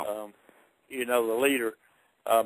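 The speaker has a Southern US accent. The pace is fairly quick and the intonation fairly even. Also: man. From Virginia. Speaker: retired NASCAR driver. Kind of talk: interview answer.

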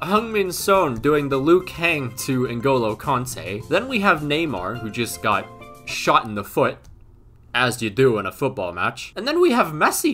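A man speaks at a fairly slow pace while faint music plays in the background. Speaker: youtuber. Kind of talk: comedic commentary. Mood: joking, amused, laughing. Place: home room.

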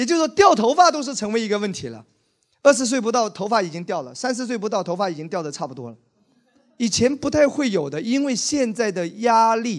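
A man's high voice at a fairly quick pace, with very wide pitch swings and big swings in loudness over a quiet background. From Wenzhou, China; China. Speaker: pastor. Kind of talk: sermon. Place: church. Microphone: handheld.

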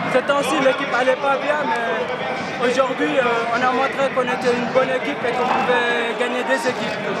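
Loud background noise surrounds this man as he talks. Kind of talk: interview answer. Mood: calm, pleased. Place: stadium. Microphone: handheld.

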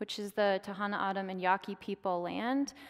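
A woman with an American accent, medium pitch and a moderate pace, against a quiet background. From Oklahoma, US. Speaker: academic lecturer. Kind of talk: public lecture. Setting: stage with live audience. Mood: calm, earnest storytelling. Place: stage.

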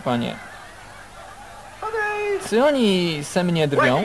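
A man with a high voice and lively intonation speaks at a very slow pace against noticeable background noise. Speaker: film voice-over lector. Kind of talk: film voice-over translation reading.

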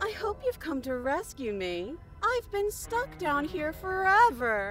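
With clear background noise, a put-on character voice at a high pitch moves at a fairly slow pace through very wide pitch swings.

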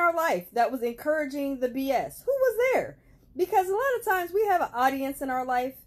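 A woman speaks at a moderate pace with very wide pitch swings. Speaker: self-improvement vlogger. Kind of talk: casual vlog chat. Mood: warm, motivational. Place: home room. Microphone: phone near.

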